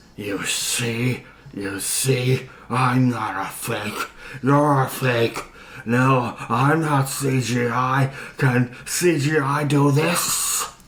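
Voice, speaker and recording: Using a put-on character voice, a man speaks very slowly at a medium pitch, shrill and growling, with fairly even intonation. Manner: indignant, defensive.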